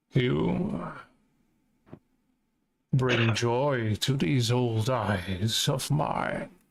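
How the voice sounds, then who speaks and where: Putting on a growling character voice, a man speaks very slowly at a medium pitch with lively intonation, long and frequent pauses, and an audible echo. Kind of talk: formal, archaic greeting.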